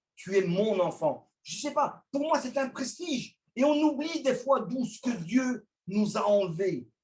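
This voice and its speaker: Very slowly and with hardly any pauses, a man with an extremely high pitch speaks with lively intonation. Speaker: preacher. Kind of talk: sermon. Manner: loud.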